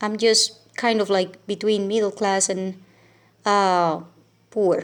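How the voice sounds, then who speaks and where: Recorded very cleanly with a silent background, a woman with a Venezuelan accent and medium pitch speaks at a very slow pace in a monotone, flat intonation. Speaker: teacher and vlogger. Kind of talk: casual vlog talk. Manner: hesitant, many fillers.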